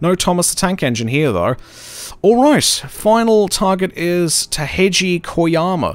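Lively intonation in an Australian accent. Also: man. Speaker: gaming streamer. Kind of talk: live gameplay commentary.

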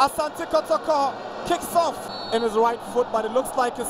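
Noticeable background noise can be heard throughout. The talking proceeds at a moderate pace. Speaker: football commentator. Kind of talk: live play-by-play football commentary. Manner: excitable, rising to a shout at the final whistle.

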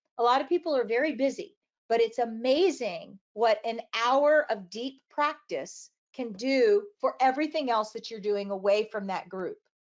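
With a quiet background behind her, a woman speaks at a high pitch with lively intonation. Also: moderate pace. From military family, moved around. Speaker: children's book illustrator and art teacher; art teacher. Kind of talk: interview. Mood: enthusiastic, animated. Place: home room. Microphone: webcam.

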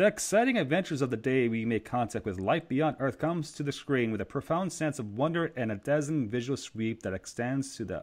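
A man with a medium-pitched voice talks at a fairly quick pace, his intonation lively.

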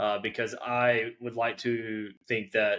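A man talks in a flat monotone on a very clean recording with a silent background. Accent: American. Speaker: drummer. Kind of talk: casual chat.

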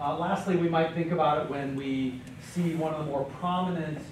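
A man talks at a moderate pace with fairly even intonation, light background noise and audible room echo. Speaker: college professor guest speaker. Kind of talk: lecture. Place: classroom.

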